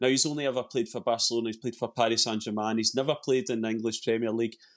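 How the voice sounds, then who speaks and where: A man with a Scottish accent and fairly even intonation against a quiet background. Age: 40s. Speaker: football fan commentator. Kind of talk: casual chat.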